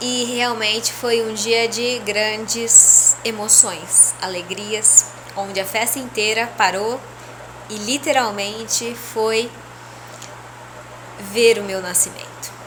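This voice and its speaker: Over noticeable background noise, a woman with a fairly high pitch speaks at a very slow pace in a monotone, flat intonation, with long, frequent pauses. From Brazil, interior of São Paulo state. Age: 30s. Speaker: spiritual leader. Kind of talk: personal testimony. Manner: casual, conversational.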